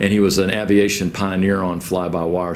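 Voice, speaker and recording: A man with an American accent speaks at a fairly low pitch and moderate pace with fairly even intonation, amid noticeable background noise and audible room echo. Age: 60s. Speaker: school staff co-host. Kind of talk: casual chat.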